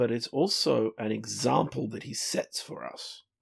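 A man with an Australian accent in a very clean recording, silent background, with a dry, close sound and no echo. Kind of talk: casual discussion of a Bible study lesson. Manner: dry, wry.

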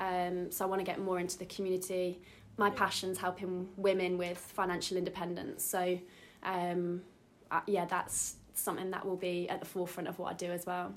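A woman with an East Midlands accent speaks at a fairly quick pace, her medium-pitched voice flat and monotone. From Derby, England. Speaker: business coach. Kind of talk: interview.

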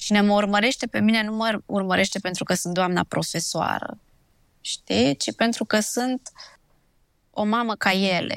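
Speaking at a fairly slow pace with ordinary pitch variation, a woman uses a plain, everyday voice in a very clean recording with a silent background and a dry, close sound with no echo. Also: medium pitch for a woman. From Transylvania, Romania (Sibiu). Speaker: blogger and dentist. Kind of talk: interview conversation. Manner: casual conversational.

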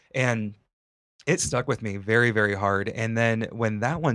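An ordinary speaking voice from a man with an American accent, fairly low pitch and fairly even intonation, on a very clean recording with a silent background. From Northwest Ohio, US. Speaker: podcast host, aspiring mental health counselor. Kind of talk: casual interview chat; read disclaimer. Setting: studio.

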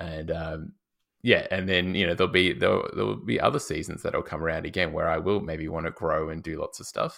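A man with an Australian accent speaks at a moderate pace in a very clean recording with a silent background. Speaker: podcast host, fitness trainer. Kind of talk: casual podcast chat.

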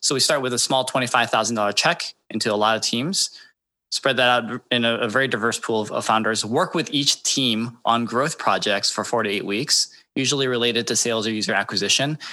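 A man with a medium pitch and a bright, sharp tone speaks at a fairly quick pace. His pitch variation is ordinary. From Michigan, US. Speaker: venture investor. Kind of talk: casual interview.

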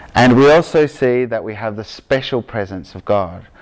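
A man speaks at a fairly slow pace with an Australian accent. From Victoria, Australia; grew up in Argentina. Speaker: preacher giving a sermon. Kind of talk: conversational sermon, casual asides.

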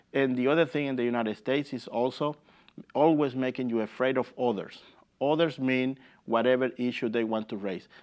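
A man speaks in a Spanish accent at a fairly quick pace. His intonation stays fairly even over a quiet background. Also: medium pitch for a man. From El Salvador. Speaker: immigrant rights organizer. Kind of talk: interview.

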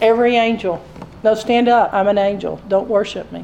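The speaker reads in an unforced reading voice whose intonation stays fairly even.

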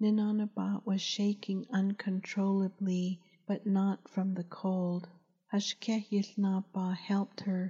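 A natural voice reading text aloud

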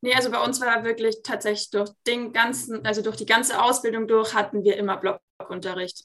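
A woman speaks at a fairly quick pace in a medium pitch, in an ordinary speaking voice. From Munich, Bavaria. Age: 20s. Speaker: master roofer and plumber. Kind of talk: interview. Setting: video call.

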